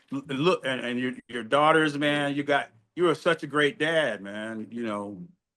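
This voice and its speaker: With a bright, sharp tone, a man speaks at a fairly high pitch and a fairly slow pace, his intonation lively. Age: 70s. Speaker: podcast host and drummer. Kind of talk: casual interview chat. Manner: animated.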